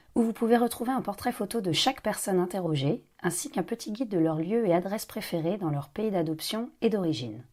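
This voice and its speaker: A normal speaking voice runs at a fairly quick pace with lively intonation and hardly any pauses. The recording is very clean, with a silent background. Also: woman, medium pitch for a woman. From Paris, France. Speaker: podcast host. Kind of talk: scripted intro then interview. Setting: outdoor café terrace.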